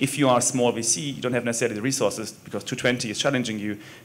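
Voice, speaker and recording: Amid noticeable background noise, a man with a German accent talks at a very fast pace in a medium pitch with ordinary pitch variation. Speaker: venture investor. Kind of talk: panel discussion.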